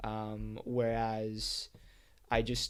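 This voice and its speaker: A man is speaking here. The recording is very clean, with a silent background. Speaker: podcast host, math tutor. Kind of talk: casual monologue. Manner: hesitant, many fillers.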